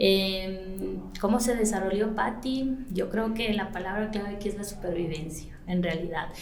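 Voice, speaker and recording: A woman speaks at a medium pitch with ordinary pitch variation. Audible room echo and noticeable background noise surround her. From Ecuador, Latacunga (highlands). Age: 40s. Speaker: salon and spa owner. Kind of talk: podcast interview. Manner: hesitant, many fillers.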